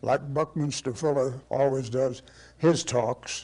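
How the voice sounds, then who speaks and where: A man's somewhat breathy voice of medium pitch, dark and mellow in tone, at a fairly slow pace. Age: 80s+. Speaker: architect and teacher. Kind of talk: lecture. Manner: storytelling, hesitant.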